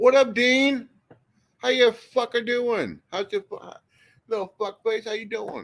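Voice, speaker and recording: A loud man's voice at an extremely high pitch, fairly slow and fairly even in intonation, with long, frequent pauses. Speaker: live stream panel host. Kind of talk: casual chat.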